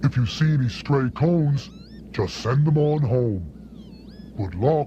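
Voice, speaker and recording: A man performs a put-on character voice at a fairly slow pace. Background noise is clearly audible. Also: medium pitch for a man. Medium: short film. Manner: wry, avuncular.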